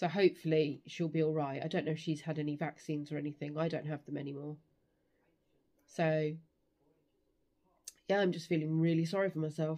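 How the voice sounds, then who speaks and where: In a British accent, a woman speaks at a fairly quick pace with a very deep, low pitch, a dark, mellow tone and monotone, flat intonation. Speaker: vlogger. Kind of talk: casual vlog chat. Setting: at mother-in-law's house.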